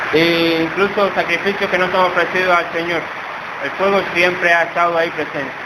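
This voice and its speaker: A man talks at a fairly quick pace in a high, monotone voice with flat intonation. Noticeable background noise and audible room echo are present. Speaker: preacher. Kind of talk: sermon. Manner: soft-spoken.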